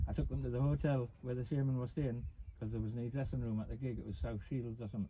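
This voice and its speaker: In a Geordie accent, a man talks at a very fast pace. His voice is somewhat breathy and swings widely in pitch. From northern England, Newcastle. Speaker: vlogger. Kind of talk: casual chat.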